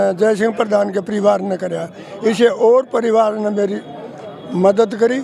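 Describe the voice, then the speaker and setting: A man speaks in a high voice with ordinary pitch variation while a crowd murmurs in the background. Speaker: village elder. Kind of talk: street interview.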